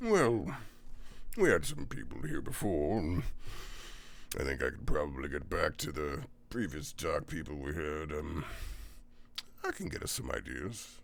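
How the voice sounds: A man uses a put-on character voice with an extremely low pitch, vocal fry, and big pitch swings. He speaks at a fairly slow pace with long, frequent pauses.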